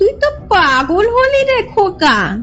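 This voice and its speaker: A woman's cartoonish character voice, extremely high in pitch with very wide swings, over clear background noise. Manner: sharp-tongued, scolding.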